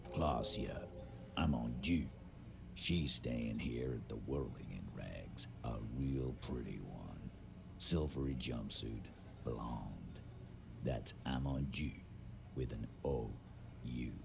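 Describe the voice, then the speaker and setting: Using a gruff, put-on character voice, a man talks at a very slow pace with long, frequent pauses while loud background noise plays behind him. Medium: video game. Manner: gruff, confrontational.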